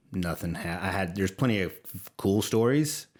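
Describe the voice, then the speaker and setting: In a very clean recording with a silent background, a man with an American accent speaks at a moderate pace, his very deep, low voice carrying lively intonation. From Louisiana, Livingston Parish. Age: 40s. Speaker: creative executive and war veteran. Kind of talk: podcast interview. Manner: halting, many repeats.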